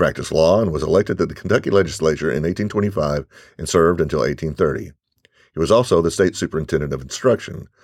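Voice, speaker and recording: Speaking at a very fast pace, a man uses a very deep, low pitch with vocal fry. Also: ordinary pitch variation. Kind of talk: self-guided audio walking tour, scripted narration. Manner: formal, measured, clear; instructional, giving step-by-step directions.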